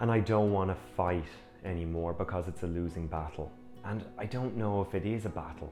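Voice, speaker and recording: Over music in the background, a man talks at a fairly quick pace in a calm tone with ordinary pitch variation. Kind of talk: personal reflection to camera. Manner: reflective, calm.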